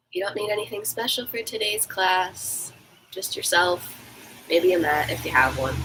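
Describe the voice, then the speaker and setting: Over noticeable background noise, a woman talks at a moderate pace. Her tone is calm and her intonation lively. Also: medium pitch for a woman. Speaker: fitness instructor. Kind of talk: guided stretching class. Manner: calm, instructive.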